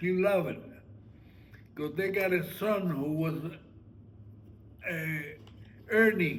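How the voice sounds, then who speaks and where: A man talks very slowly in a high voice, with fairly even intonation and long, frequent pauses. Audible room echo surrounds him. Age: 90s. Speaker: family elder, retired sugar refinery worker. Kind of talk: casual family conversation. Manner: halting.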